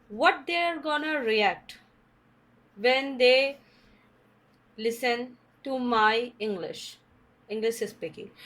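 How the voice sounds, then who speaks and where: In an Indian accent, a woman speaks very slowly at a high pitch with lively intonation. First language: Hindi. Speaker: English teacher / channel host. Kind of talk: tutorial. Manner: halting.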